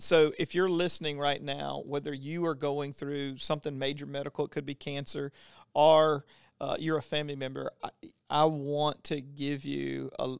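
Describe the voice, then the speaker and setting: Speaking with an American accent, a man uses a fairly high pitch and monotone, flat intonation at a moderate pace. The sound is dry and close, without echo. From Louisiana, US South. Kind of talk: casual faith conversation with Bible teaching.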